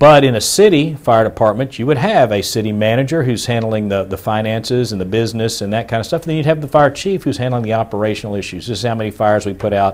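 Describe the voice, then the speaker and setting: Man with an American accent at medium pitch, very fast pace and hardly any pauses, ordinary pitch variation, noticeable background noise. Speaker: attorney. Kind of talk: lecture.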